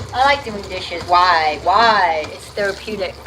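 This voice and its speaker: Over noticeable background noise, a woman with a New Jersey accent speaks in an animated tone at a fairly slow pace. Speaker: comedian and livestreamer. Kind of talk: casual cooking livestream chat. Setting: kitchen at a friend's house, livestream.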